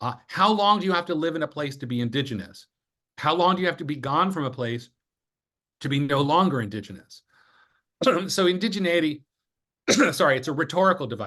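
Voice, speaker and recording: A loud man speaks very fast in a fairly high, bright and sharp voice with lively intonation. He leaves long, frequent pauses, over a quiet background. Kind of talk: interview conversation.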